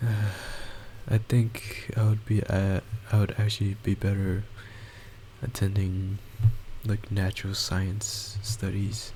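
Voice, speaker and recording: A man with a fairly low pitch speaks in a flat monotone at a very slow pace, with long, frequent pauses and noticeable background noise. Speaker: gaming YouTuber. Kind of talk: gameplay commentary. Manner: halting.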